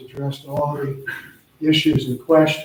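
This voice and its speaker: Somewhat breathy and fairly high in pitch, a man speaks with monotone, flat intonation. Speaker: planning board chairman. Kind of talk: public meeting, reading agenda and procedure. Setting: town board meeting. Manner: halting.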